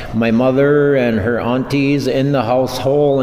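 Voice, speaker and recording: A man speaks in a monotone, flat intonation. Noticeable background noise and audible room echo surround him. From Red Lake reservation, Minnesota. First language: Ojibwe. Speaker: language teacher. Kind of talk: radio interview.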